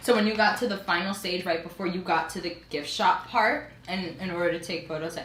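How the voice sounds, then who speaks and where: A woman with a New York accent speaks at a moderate pace with lively intonation, over noticeable background noise and audible room echo. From New York, the Bronx. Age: young. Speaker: college student. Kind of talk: casual chat.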